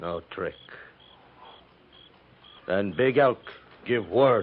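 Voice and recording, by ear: A man speaks in a put-on character voice with a fairly low pitch. His intonation is lively and his pace very slow.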